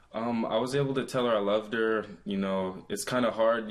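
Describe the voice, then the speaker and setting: Speaking at a moderate pace with fairly even intonation, a man has an unremarkable speaking voice. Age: 20s. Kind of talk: interview answer.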